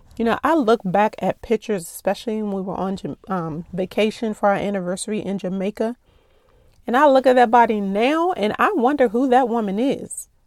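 A woman speaks at a fairly quick pace in a plain, everyday voice, fairly high in pitch with lively intonation, on a very clean recording with a silent background and a dry, close sound with no echo. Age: 40s. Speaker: podcast host. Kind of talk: personal monologue.

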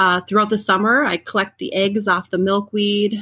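In an Upper Midwest accent, a woman with a medium pitch and a bright, sharp tone speaks at a moderate pace. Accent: Upper Midwest American. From central Minnesota. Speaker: home gardener. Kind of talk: interview.

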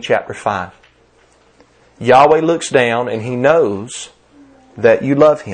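Speaking with a Southern US accent, a man uses a medium pitch and ordinary pitch variation. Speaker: preacher. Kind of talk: sermon. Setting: church.

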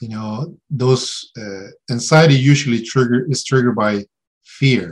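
This man talks at a fairly slow pace with a Spanish accent and a medium pitch. His pitch varies in an ordinary way, while his loudness swings widely. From Mexico. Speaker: therapist. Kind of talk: interview. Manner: hesitant, many fillers.

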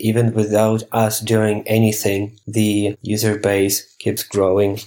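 Speaking at a fairly slow pace, a man uses a fairly low pitch. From Ukraine. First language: Ukrainian or Russian. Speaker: app startup co-founder. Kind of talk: interview.

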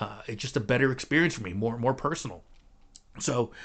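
An unremarkable speaking voice moves at a fairly quick pace with an American accent. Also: man. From New Jersey (Clifton, near New York City). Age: 50s. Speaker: podcast host and guitar teacher. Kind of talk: solo podcast monologue. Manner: casual with many fillers and repetitions.

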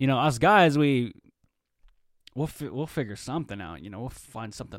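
In a very clean recording with a silent background, a man at medium pitch talks at a fairly quick pace with lively intonation and big swings in loudness, in an ordinary speaking voice. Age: 20s. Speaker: podcast host. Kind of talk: casual solo monologue. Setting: home studio with microphone.

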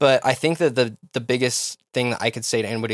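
Recorded very cleanly against a silent background with a dry, close sound and no echo, a man with an American accent and an unremarkable speaking voice talks at a fairly quick pace with ordinary pitch variation. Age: 20s. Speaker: DJ and music producer. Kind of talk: casual interview.

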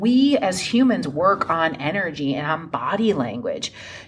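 A woman speaks at a fairly slow pace in an animated tone, her pitch swinging very widely. Noticeable background noise runs underneath. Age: 40s. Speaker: sobriety coach and podcast host. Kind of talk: casual solo podcast monologue. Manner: conversational, animated.

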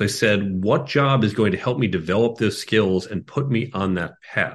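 A man with an American accent and an unremarkable speaking voice, lively intonation, a moderate pace and a quiet background. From Chicago, US Midwest. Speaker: tech executive and career coach. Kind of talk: interview conversation.

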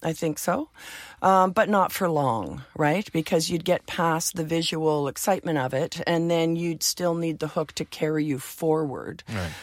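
A woman with a Canadian accent has a plain, everyday voice, fairly low in pitch, with ordinary pitch variation. She speaks at a fairly slow pace in a very clean recording with a silent background. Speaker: music TV and record industry veteran. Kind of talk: casual interview.

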